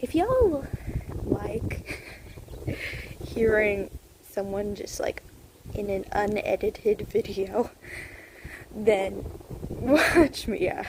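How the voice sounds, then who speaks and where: Pausing long and often, a woman talks at a very slow pace amid noticeable background noise. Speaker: artist vlogger. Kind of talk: casual voiceover. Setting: outdoors, walking. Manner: casual rambling. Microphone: echoey room.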